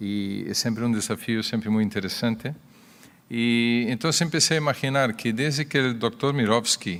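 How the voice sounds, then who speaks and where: With a Brazilian accent, a man talks at a medium pitch and moderate pace, his pitch varying in an ordinary way. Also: very clean recording, silent background. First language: Portuguese (speaking Spanish). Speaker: cardiologist. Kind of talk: conference talk. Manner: halting.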